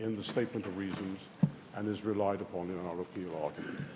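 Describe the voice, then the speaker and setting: A man talks at a fairly quick pace. Noticeable background noise runs underneath. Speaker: barrister. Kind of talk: courtroom legal submission. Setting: courtroom. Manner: formal; loud. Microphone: hard to hear from the far end of the bench.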